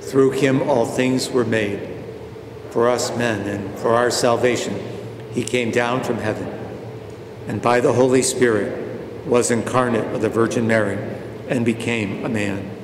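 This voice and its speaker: With noticeable background noise behind him, a man speaks in a monotone, flat intonation at a medium pitch and a fairly slow pace, leaving long, frequent pauses. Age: 70s. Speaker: parish priest. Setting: church, recorded for online viewing.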